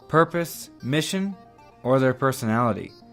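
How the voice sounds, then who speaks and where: Over music in the background, a man with an American accent talks at a moderate pace and medium pitch. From Oklahoma. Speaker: podcast host. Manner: puts emphasis on the first syllable of every word.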